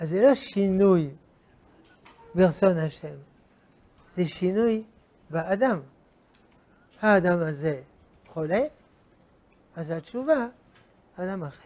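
A man speaks very slowly in a high voice, with long, frequent pauses. His intonation is lively and his loudness swings widely. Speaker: religious teacher. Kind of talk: lecture. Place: hall. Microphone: lapel.

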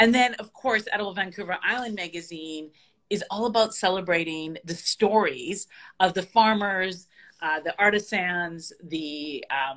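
The woman speaks at a fairly slow pace, with ordinary pitch variation, and the background is quiet. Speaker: remote guest. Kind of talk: interview answer. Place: home room. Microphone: video call.

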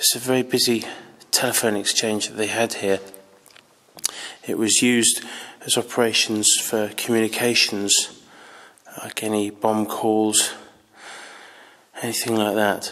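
A man's monotone, flat delivery at a fairly slow pace with long, frequent pauses. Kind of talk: casual exploration commentary. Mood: slightly nervous, hushed. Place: tunnel cave. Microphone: phone near.

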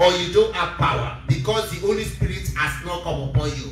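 A man with audible room echo and light background noise. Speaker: preacher. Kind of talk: sermon. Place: church.

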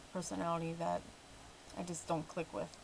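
A woman is speaking. Light background noise runs underneath. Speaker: vlogger. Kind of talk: casual vlog chat. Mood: mildly annoyed, reflective. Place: home room. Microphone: webcam.

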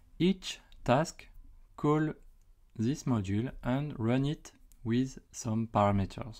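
Very slow speech in a French accent, with long, frequent pauses. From France. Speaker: YouTuber and site reliability engineer. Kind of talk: tutorial. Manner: hesitant with frequent fillers.

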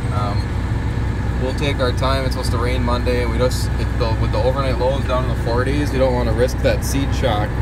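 The speech moves at a moderate pace. Loud background noise is present. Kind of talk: casual vlog chat. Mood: relaxed, content. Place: farm machine. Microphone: phone near.

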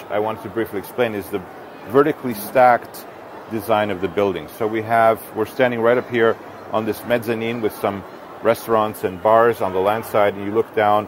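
Talking at a fairly quick pace with fairly even intonation, a man is heard in a dry sound with no echo amid noticeable background noise. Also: fairly low pitch for a man. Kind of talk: explanatory tour talk. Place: hall. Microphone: lapel.

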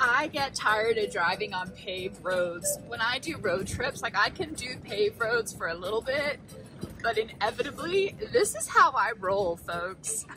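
A woman at a fairly slow pace, dry with no echo, with faint music in the background. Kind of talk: casual vlog chat. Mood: flustered, amused disbelief. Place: car. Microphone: phone near.

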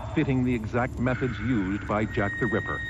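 The speech has lively intonation and a fairly quick pace. Noticeable background noise runs underneath. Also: man. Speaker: news reporter. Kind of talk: true-crime documentary news narration, scripted and dramatic. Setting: voiceover over footage. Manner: grave, measured, dramatic storytelling delivery; formal, crisp news-reporter cadence.

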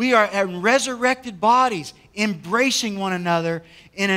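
A man speaks in a raised, projected voice. His tone is bright and sharp, with ordinary pitch variation. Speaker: pastor. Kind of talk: sermon. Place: church. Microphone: headset.

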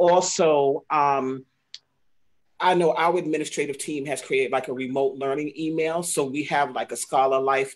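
A woman's very deep, low voice at a fairly slow pace, with fairly even intonation. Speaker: school parent coordinator. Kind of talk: casual chat. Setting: video call.

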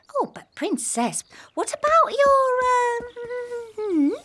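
A squeaky, cartoonish character voice at an extremely high pitch talks at a fairly slow pace. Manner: fussy, wheedling.

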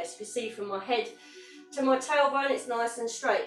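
A woman speaks at a moderate pace. Audible room echo and light background noise surround her voice. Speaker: fitness instructor. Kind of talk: exercise class instruction. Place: home room. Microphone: camera far.

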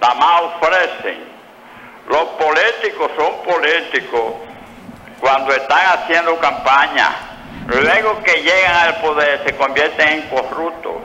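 Over light background noise, the speech moves at a very slow pace with very even loudness and ordinary pitch variation. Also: man, high pitch for a man. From Dominican Republic, Santiago; Dominican Republic. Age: 70s. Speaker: caller; guest. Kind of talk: phone-in opinion. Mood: indignant, critical of politicians. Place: studio.

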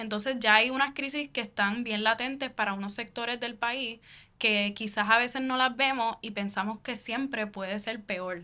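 Bright and sharp in tone, a woman speaks at a moderate pace with a fairly high pitch and fairly even intonation. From Puerto Rico, Caguas; Puerto Rico. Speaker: founder of independent digital media project; podcast guest, civic organization spokesperson. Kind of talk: interview conversation. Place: studio. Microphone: studio mic.

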